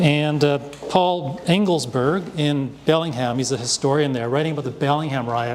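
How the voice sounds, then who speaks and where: A man with a Canadian accent, fairly high pitch, ordinary pitch variation and moderate pace, amid noticeable background noise and audible room echo. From Hong Kong, raised in Vancouver from age three. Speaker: artist and panel moderator. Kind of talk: panel discussion introduction. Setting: live panel with audience at a festival. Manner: halting, many fillers.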